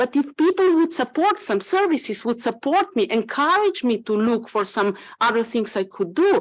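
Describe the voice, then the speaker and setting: On a very clean recording with a silent background, a woman talks at a moderate pace with very wide pitch swings. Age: 60s. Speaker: government health official. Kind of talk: panel discussion. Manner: halting.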